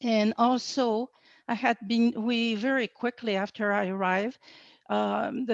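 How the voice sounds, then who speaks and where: A woman speaks fairly slowly in a fairly high pitch, her intonation fairly even against a quiet background. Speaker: former ecological reserves program officer. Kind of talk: personal reminiscence talk.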